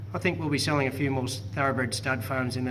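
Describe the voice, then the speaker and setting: A man rattles along at a very fast pace, his pitch moving in an ordinary way, with noticeable background noise throughout. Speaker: property auctioneer and real estate agent. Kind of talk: post-auction report to camera.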